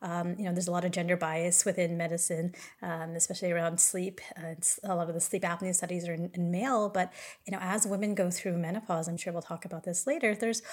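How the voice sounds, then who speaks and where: Speaking very fast, a woman with an American accent has a fairly low pitch. Her voice is somewhat breathy and her intonation fairly even. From California. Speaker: sleep medicine physician. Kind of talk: interview conversation.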